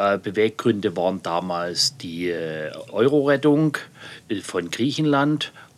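The man's intonation is lively. He talks at a fairly slow pace. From Saxony, Bautzen district. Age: 50s. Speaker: regional politician. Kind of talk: political interview. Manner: halting.

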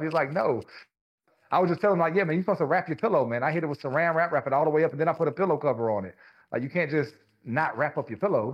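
At a very fast pace, a man with a Louisiana accent speaks at a fairly high pitch with ordinary pitch variation. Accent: Southern US (Louisiana). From Louisiana, small rural town. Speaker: barber and scalp micropigmentation artist. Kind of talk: casual interview.

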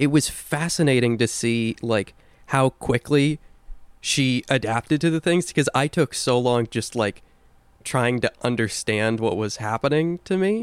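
The sound is dry and close with no echo, and the pitch varies in an ordinary way. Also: man, medium pitch for a man. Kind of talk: casual chat. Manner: animated when excited.

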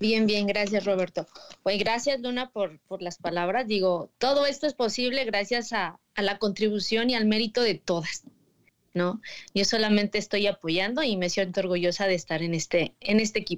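A woman with a normal speaking voice talks at a moderate pace and medium pitch, with ordinary pitch variation, in a very clean recording with a silent background. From State of Mexico. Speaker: magazine editor. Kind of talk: casual chat.

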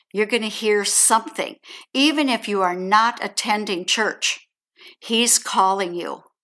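A woman with an American accent speaks at a fairly slow pace in a fairly high pitch with ordinary pitch variation. Her bright, sharp tone comes through on a very clean recording with a silent background. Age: 70s. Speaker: adoptee sharing faith story. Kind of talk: testimony.

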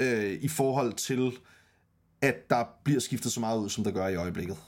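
The man's pitch swings very widely. He keeps to a moderate pace. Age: 30s. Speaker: podcast host. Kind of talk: casual chat. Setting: online call, livestream. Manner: halting, many fillers.

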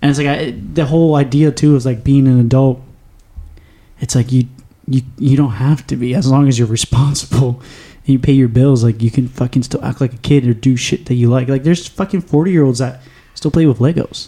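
A man with a medium-pitched, dark, mellow, somewhat breathy voice talks at a fairly quick pace with fairly even intonation. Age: 20s. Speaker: podcast host. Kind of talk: casual chat. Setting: studio.

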